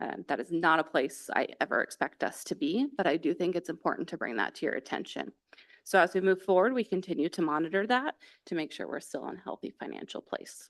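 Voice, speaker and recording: A woman's very fast speech, fairly low in pitch with vocal fry, in a dry, close sound with no echo. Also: lively intonation. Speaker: school district finance officer. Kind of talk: budget report at board meeting.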